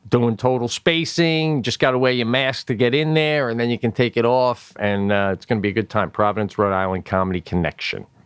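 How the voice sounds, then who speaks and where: On a very clean recording with a silent background and a dry, close sound with no echo, a man with an unremarkable speaking voice talks fairly quickly at medium pitch, with ordinary pitch variation and hardly any pauses. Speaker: comedian. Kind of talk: casual chat. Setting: basement via FaceTime.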